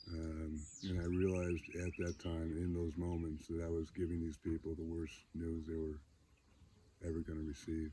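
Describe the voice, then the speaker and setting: Somewhat breathy and dark, mellow in tone, a man's voice moves at a moderate pace with monotone, flat intonation. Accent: American. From upstate New York (Syracuse). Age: 60s. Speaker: data center entrepreneur sharing recovery story. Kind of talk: personal testimony. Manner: halting, many fillers.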